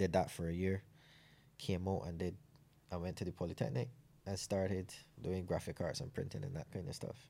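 A man's very deep, low voice with a dark, mellow tone and vocal fry, lively intonation, a fairly quick pace and long, frequent pauses. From Barbados, Saint John. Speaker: para bobsleigh athlete and ex-soldier. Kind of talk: interview.

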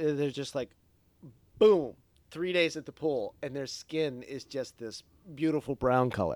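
A man with a fairly high pitch talks at a fairly slow pace, leaving long, frequent pauses. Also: ordinary pitch variation. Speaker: podcast host. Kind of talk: casual chat. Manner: joking, does mock radio voice.

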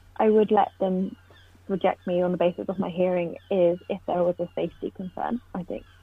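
Speaking fairly quickly with a southern English accent, a woman keeps a medium pitch and fairly even intonation. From southern England, Poole/Bournemouth. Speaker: deaf postgraduate student. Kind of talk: casual interview.

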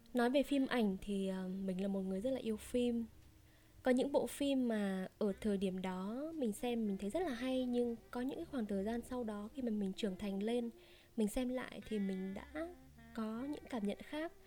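Fairly high-pitched female speech at a moderate pace, its pitch varying in an ordinary way. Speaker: storytelling podcaster. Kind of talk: casual Q&A chat. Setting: home recording. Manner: relaxed conversational.

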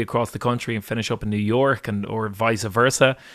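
A man with a Dublin accent, medium pitch, fairly even intonation and a fairly quick pace. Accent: Dublin Irish. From Ireland, Dublin. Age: 20s. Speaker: singer. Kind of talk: interview. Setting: video call.

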